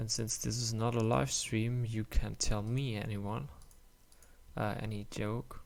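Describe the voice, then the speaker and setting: A man with a German accent at a very slow pace, fairly low pitch and ordinary pitch variation. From Germany. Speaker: indie game developer. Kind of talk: tutorial. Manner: halting.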